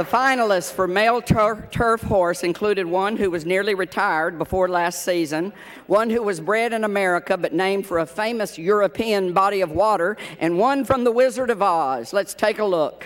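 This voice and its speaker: Speaking in a Tennessee accent, a man uses a high pitch with ordinary pitch variation at a moderate pace. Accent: Tennessee accent mistaken for Irish. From Tennessee hills, US South. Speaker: award presenter, TV personality, former exercise rider. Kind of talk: award presentation; humorous award speech.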